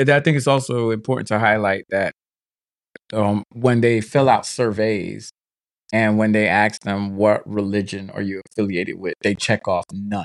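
A man at a fairly low pitch, moderate pace and ordinary pitch variation, in a dry, close sound with no echo. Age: 40s. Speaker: podcast co-host. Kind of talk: casual chat.

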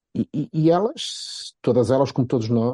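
Here a man speaks at a medium pitch with a Porto accent and lively intonation. His tone is dark and mellow, and the sound is dry and close with no echo. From Portugal, Porto. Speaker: football pundit. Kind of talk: casual chat.

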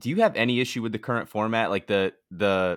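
This man has a normal speaking voice with a fairly low pitch. He speaks at a moderate pace with ordinary pitch variation. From Bristol, Connecticut. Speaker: podcast co-host. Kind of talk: casual chat.

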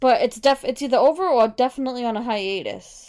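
Using a plain, everyday voice, a woman talks at a fairly quick pace with ordinary pitch variation. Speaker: podcast host. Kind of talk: casual chat.

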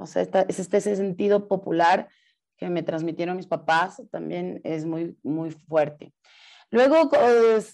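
Here is a woman with a plain, everyday voice and lively intonation. The background is quiet. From Ecuador. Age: 40s. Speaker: actress and theatre director. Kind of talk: casual interview.

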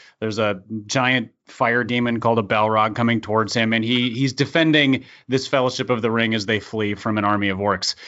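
A normal speaking voice at a fairly quick pace, with fairly even intonation and very even loudness. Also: man, medium pitch for a man. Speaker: podcast co-host. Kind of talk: casual banter. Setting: studio.

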